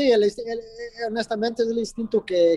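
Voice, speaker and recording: The sound is dry and close with no echo. A man talks in a dark, mellow tone. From New Jersey, US. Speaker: mixed martial arts fighter. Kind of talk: interview. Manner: hesitant, many fillers.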